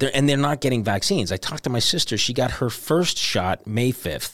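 A man with a medium-pitched voice and vocal fry talks at a fairly quick pace with lively intonation and hardly any pauses. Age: 50s. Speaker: stand-up comedian. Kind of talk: casual chat. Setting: studio.

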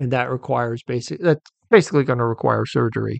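A man's medium-pitched voice at a very fast pace, dry and close with no echo. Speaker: veterinarian podcast host. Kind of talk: solo educational monologue. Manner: halting.

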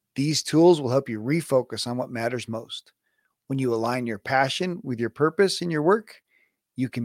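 On a very clean recording with a silent background and a dry, close sound with no echo, a man speaks in an unremarkable speaking voice at medium pitch, a moderate pace and ordinary pitch variation. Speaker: podcast host and business coach. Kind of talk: interview.

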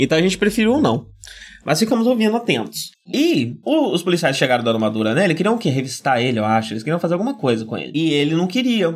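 A man talks at a very fast pace in a high voice. His pitch swings very widely. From Brazil, São Paulo. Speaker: podcast host. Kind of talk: casual chat. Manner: projected, firm podcast voice.

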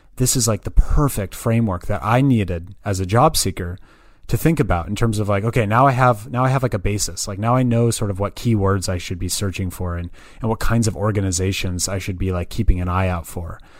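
This man, with an American accent, speaks fairly quickly at a fairly low pitch with ordinary pitch variation. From US West Coast, Berkeley, California. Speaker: climate jobs platform founder. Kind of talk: casual interview chat. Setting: remote call.

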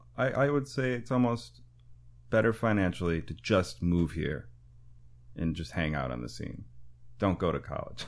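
On a very clean recording with a silent background, a man with an American accent and a very deep, low pitch speaks at a moderate pace, with very wide pitch swings and long, frequent pauses. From rural Wisconsin, US Midwest. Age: 30s. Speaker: jazz musician. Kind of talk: casual interview chat.

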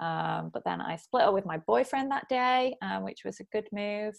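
A woman in a Manchester accent at a moderate pace, against a quiet background. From northern England, Bury near Manchester. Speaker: career coach. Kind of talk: casual interview.

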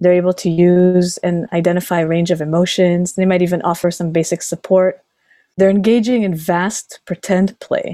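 A woman speaks at a moderate pace in a fairly low voice with a dark, mellow tone. Her intonation is monotone and flat, and the sound is dry and close with no echo. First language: Hebrew (native bilingual with English). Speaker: speech language pathologist. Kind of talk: interview.

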